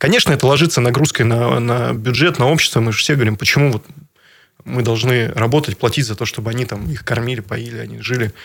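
Speaking very fast, a man uses a medium pitch with ordinary variation and vocal fry. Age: 30s. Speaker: regional politician and businessman. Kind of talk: radio interview. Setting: radio studio. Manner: halting, many fillers.

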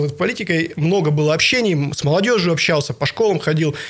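Here a man talks in a high pitch. His pitch variation is ordinary. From Bratsk, Irkutsk region, Russia. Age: 30s. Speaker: regional politician. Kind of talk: interview.

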